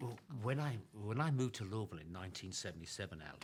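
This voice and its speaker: At a fairly quick pace, a man with an American accent speaks in a somewhat breathy voice with ordinary pitch variation. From England. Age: 70s. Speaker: retired professional runner. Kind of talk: interview.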